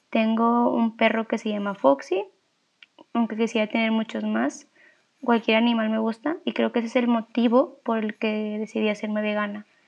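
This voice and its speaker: Hers is a normal speaking voice, fairly high for a woman, set at a moderate pace with ordinary pitch variation. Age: 20s. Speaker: student. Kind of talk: self-introduction.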